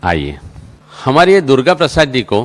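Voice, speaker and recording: A man with a medium-pitched voice and noticeable vocal fry. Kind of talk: conference host introduction.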